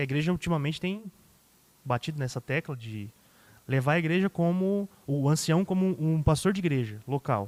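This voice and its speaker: Lively intonation from a man with a fairly high pitch, in a dry, close sound with no echo. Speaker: pastor. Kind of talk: podcast interview. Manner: fast.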